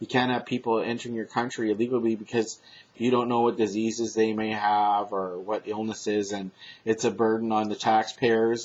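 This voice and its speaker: The speech moves at a moderate pace with monotone, flat intonation. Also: man. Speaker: political commentary vlogger. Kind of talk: casual monologue. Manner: loud; halting.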